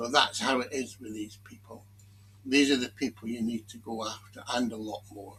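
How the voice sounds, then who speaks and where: At a moderate pace, a man with a medium pitch and a bright, sharp tone speaks with fairly even intonation and big swings in loudness. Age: 60s. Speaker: commentary video maker. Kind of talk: casual monologue commentary. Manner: halting.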